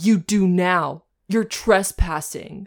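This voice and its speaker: A female-sounding put-on character voice sits at a middle pitch. The recording is very clean, with a silent background. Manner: menacing, gruff.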